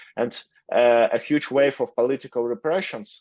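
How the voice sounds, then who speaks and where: A man with a Russian accent at a moderate pace with ordinary pitch variation, in a dry, close sound with no echo and a quiet background. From Russia, Moscow. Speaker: lawyer. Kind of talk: interview. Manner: halting, many fillers.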